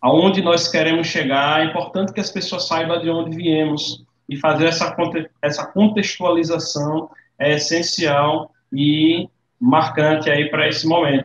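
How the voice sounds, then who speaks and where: A man's plain, everyday voice, fairly high-pitched, fairly slow, with fairly even intonation. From Northeast Brazil, Aracaju. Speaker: condominium franchise businessman, former navy. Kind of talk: interview.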